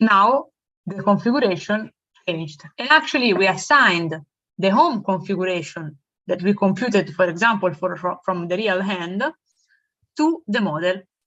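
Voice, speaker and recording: This woman has a medium pitch, lively intonation and long, frequent pauses. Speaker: robotics lecturer. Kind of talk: lecture. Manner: slow.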